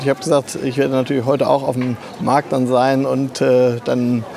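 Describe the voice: A man's medium-pitched voice with vocal fry, little pitch movement and clear background noise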